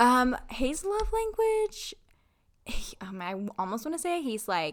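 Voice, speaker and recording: This woman talks at a fairly slow pace. Her pitch swings very widely, and she has an American accent. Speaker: corporate employee. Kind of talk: casual chat. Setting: home living room.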